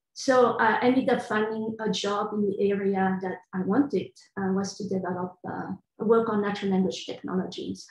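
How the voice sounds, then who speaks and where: A somewhat breathy woman talks at a moderate pace with medium pitch and fairly even intonation. The background is quiet, but room echo is audible. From Belgium, Brussels. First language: French. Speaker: computational linguist. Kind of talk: panel discussion. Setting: video call. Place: home room. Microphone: video call.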